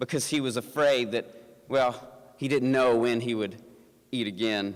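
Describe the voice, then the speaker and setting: A man speaks with a slight Southern US accent at a moderate pace. His pitch is medium, with ordinary variation. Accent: slight Southern twang. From US South, Appalachian mountains. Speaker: pastor. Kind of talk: inspirational talk. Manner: halting, with fillers and repeated words.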